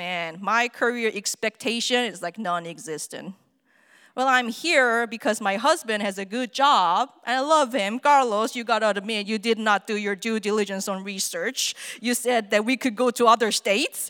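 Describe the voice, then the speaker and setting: A woman with a Korean accent speaks at a moderate pace in a fairly high voice with ordinary pitch variation and a bright, sharp tone. The recording is very clean with a silent background and a dry, close sound with no echo. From South Korea. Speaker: theater artist and musician. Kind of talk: personal talk to an audience. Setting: stage with audience.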